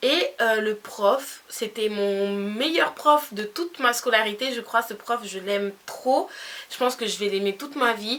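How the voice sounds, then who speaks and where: A woman speaks at a very slow pace and a fairly high pitch, with ordinary pitch variation. Noticeable background noise is present. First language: Spanish (speaking French). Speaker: beauty youtuber. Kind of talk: storytime vlog. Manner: animated.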